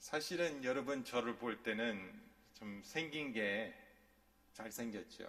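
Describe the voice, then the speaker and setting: Speaking at a very slow pace with medium pitch and ordinary pitch variation, a man is heard amid audible room echo and noticeable background noise. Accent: non-native. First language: English (speaking Korean). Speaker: pastor. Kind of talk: sermon. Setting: church.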